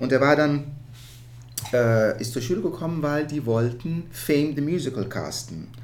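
A man's fairly high voice in a Dutch accent, at a moderate pace with ordinary pitch variation, long, frequent pauses and audible room echo. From Netherlands. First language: Dutch (speaking German). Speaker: musical theatre performer. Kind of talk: casual interview. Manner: halting.

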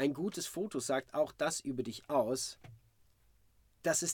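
Lively in intonation, a man with a fairly high voice speaks at a very slow pace. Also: very clean recording, silent background. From Sweden, Malmö. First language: Swedish (speaking German). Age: 40s. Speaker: musical performer. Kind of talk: interview. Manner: halting.

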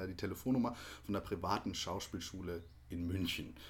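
A man talks at a moderate speed, his voice somewhat breathy and his pitch varying in an ordinary way. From Baden-Württemberg, near Hockenheim. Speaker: musical actor. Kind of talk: casual interview. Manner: hesitant, many fillers.

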